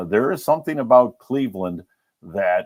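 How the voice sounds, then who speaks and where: An unremarkable speaking voice belongs to this man, who talks at a moderate pace. His intonation is lively. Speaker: radio play-by-play broadcaster. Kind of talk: interview answer.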